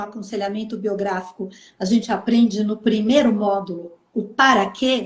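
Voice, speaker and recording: A woman speaks at a fairly slow pace with a fairly high pitch. Her voice is somewhat breathy. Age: 60s. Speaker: author. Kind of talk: interview. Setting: live stream.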